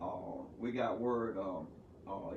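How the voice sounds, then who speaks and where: Behind this man's voice, background noise is noticeable. His pitch is medium and varies in an ordinary way. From Texas, USA. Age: 70s. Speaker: pastor, civil rights veteran; actor, playwright. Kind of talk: interview answer.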